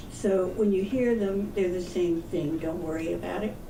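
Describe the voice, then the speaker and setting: The speech moves at a fairly slow pace. Noticeable background noise and audible room echo surround it. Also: woman. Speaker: peace activist. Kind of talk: public talk.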